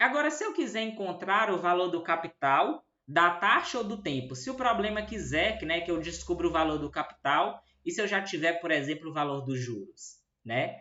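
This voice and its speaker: A man speaks at a high pitch with lively intonation. His pace is moderate. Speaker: math teacher. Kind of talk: lecture.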